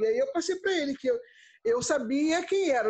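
At a moderate pace, the voice swings very widely in pitch. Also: woman. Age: 50s. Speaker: crochet artisan and small business owner. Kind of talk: interview. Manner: halting, with frequent word repetitions.

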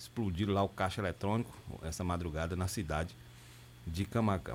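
A man with a very deep, low voice and vocal fry. He talks at a fairly quick pace with ordinary pitch variation. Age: 40s. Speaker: radio host. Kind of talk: news reading and interview.

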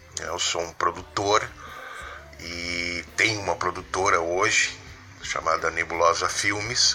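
A man speaks at a very slow pace, with long, frequent pauses. Noticeable background noise runs under the clip. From southern Brazil, Rio Grande do Sul. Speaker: film producer. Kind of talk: interview.

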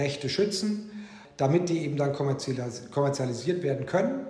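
A man's fairly high voice, with noticeable background noise and audible room echo. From Egypt (German school in Cairo), early childhood Bavarian Swabia. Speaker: corporate lawyer. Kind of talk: interview. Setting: video call.

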